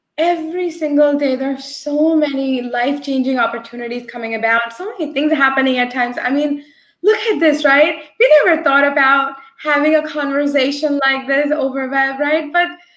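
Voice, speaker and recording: A woman's high pitch at a moderate pace, with fairly even intonation. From New Jersey, US (born in India). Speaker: agile coach. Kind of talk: interview. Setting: video call.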